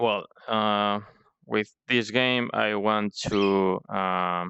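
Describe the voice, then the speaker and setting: A man with a non-native accent speaks at a very slow pace in a fairly low pitch with fairly even intonation. The sound is dry and close with no echo, and the background is quiet. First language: not English. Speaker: indie game developer. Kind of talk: devlog tutorial. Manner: halting with frequent fillers.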